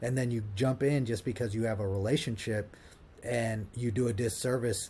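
Somewhat breathy and dark, mellow in tone, the voice carries an American accent, ordinary pitch variation and a moderate pace. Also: man. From Ohio, US Midwest. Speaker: partnerships director, brand builder. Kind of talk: podcast interview. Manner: halting, many repetitions and fillers.

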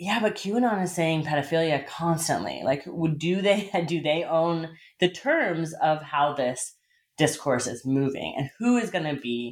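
A woman with an American accent talks at a fairly slow pace in an ordinary speaking voice. Her pitch is fairly low, with ordinary pitch variation. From US Southwest.

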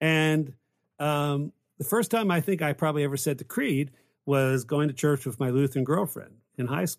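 Recorded very cleanly with a silent background, a man speaks in a plain, everyday voice, fairly high in pitch with ordinary variation, at a moderate pace. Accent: American. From West Virginia, later Pennsylvania. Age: 50s. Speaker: pastor and professor. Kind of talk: casual theological discussion.

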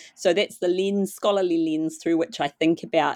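Fairly quick speech with a New Zealand accent and ordinary pitch variation, dry and close with no echo against a quiet background. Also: woman. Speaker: literature professor. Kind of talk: interview.

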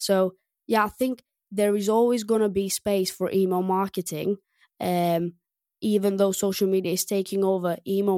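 On a very clean recording with a silent background, a woman with a Greek accent speaks at medium pitch and moderate pace, her dark, mellow tone and fairly even intonation caught in a dry, close sound with no echo. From Greece. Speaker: restaurant tech co-founder. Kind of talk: podcast interview. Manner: hesitant, many fillers.

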